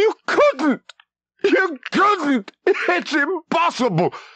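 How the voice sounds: Speech comes very slowly in a put-on character voice. The pitch sits extremely high.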